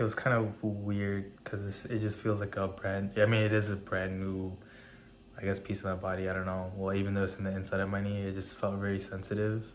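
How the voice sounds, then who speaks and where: This man talks at a fairly quick pace in a fairly low, monotone voice with flat intonation, and room echo is audible. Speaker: fitness vlogger. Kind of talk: casual vlog talk. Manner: hesitant, many fillers.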